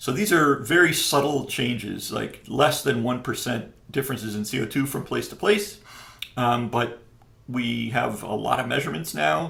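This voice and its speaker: A man with a medium-pitched, bright and sharp voice speaks with an American accent, with some vocal fry. His intonation is lively at a moderate pace, and the room echo is audible. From upstate New York. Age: 60s. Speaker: professor. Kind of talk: interview. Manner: hesitant, many fillers.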